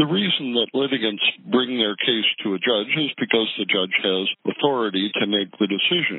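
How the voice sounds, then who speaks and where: A man's normal speaking voice, medium in pitch, with ordinary pitch variation. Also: moderate pace. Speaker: judge. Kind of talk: interview answering questions about law. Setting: phone call.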